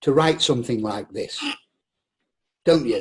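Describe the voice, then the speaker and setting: A man's somewhat breathy, fairly high voice with a northern English accent. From northern England. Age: 60s. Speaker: actor. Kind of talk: casual chat.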